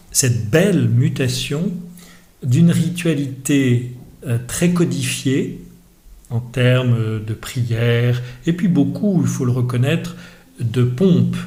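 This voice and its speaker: A man speaks very slowly at a medium pitch, with ordinary pitch variation and long, frequent pauses. His voice is somewhat breathy, and audible room echo surrounds it. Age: 60s. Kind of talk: podcast interview. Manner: hesitant, many fillers.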